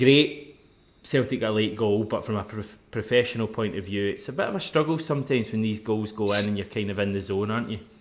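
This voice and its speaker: A man with a Scottish accent speaks very fast in a fairly low voice with ordinary pitch variation. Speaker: football podcast host. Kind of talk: casual chat.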